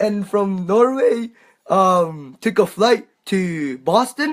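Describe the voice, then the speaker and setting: A man speaks with a high pitch. His voice makes very wide pitch swings. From Japan. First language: Japanese. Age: 20s. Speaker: world traveller. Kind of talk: interview. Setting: livestream in a cabin. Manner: halting, many fillers.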